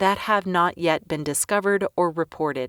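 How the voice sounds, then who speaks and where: A woman in a plain, everyday voice talks at a moderate pace with ordinary pitch variation, recorded very cleanly against a silent background with a dry, close sound and no echo. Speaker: voice actor, audiobook narrator. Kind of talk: audiobook narration, educational.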